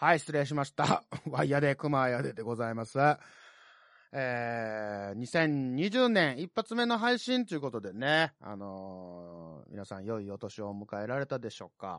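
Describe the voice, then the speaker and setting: With a Kansai accent and an animated tone, a man of medium pitch speaks at a fairly slow pace with lively intonation and big swings in loudness, the sound dry and close with no echo against a quiet background. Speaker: podcast host. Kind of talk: casual solo podcast talk. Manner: animated, laughing.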